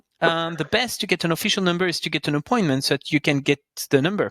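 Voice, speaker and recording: Talking at a fairly quick pace with a French accent, a man with a high pitch and a bright, sharp tone is heard on a very clean recording with a silent background and a dry, close sound with no echo. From France. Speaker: podcast host, customer experience professional. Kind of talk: casual chat.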